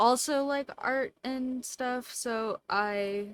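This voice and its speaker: A woman speaks quietly, in a dry, close sound with no echo. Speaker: artist streamer. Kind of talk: casual drawing stream commentary.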